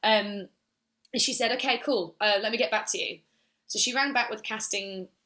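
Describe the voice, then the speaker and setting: Speaking fairly quickly in an animated tone, a woman with a fairly high pitch is heard in a very clean recording with a silent background. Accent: English. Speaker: musical theatre actress. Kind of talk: casual interview chat.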